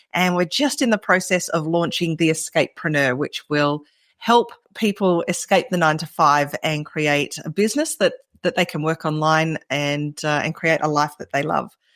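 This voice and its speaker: A woman speaks with an Australian accent at a fairly low pitch. The sound is dry and close, with no echo. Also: ordinary pitch variation, moderate pace. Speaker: entrepreneur. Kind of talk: podcast interview.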